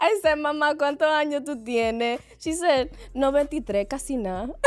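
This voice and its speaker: Speaking at a moderate pace with an American accent, a woman sounds animated, with a high pitch and lively intonation, in a very clean recording with a silent background. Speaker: podcast co-host. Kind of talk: casual chat. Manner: loud.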